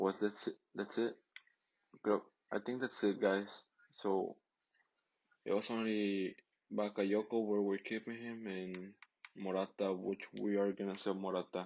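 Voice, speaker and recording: With a Mexican accent, a man speaks at a fairly low pitch and a fairly slow pace, his monotone, flat intonation broken by long, frequent pauses. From Mexico. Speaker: gaming YouTuber. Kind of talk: gameplay commentary. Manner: casual, halting with repetitions.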